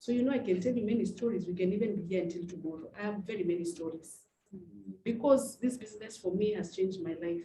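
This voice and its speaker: With a dark, mellow tone and a somewhat breathy quality, a woman speaks at medium pitch and a fairly quick pace with ordinary pitch variation. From Kenya. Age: 50s. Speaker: network marketing trainer. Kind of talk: motivational talk. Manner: fast; animated.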